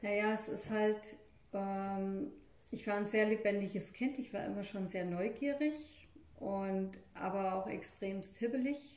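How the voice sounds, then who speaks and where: Through audible room echo and noticeable background noise, a woman talks at a very slow pace with ordinary pitch variation. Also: medium pitch for a woman. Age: 50s. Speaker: energy healer and hairdresser. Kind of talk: interview.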